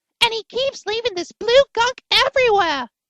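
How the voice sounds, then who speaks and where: A woman's put-on character voice, squeaky and extremely high-pitched, with lively intonation at a moderate pace. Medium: read story. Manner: worried, earnest.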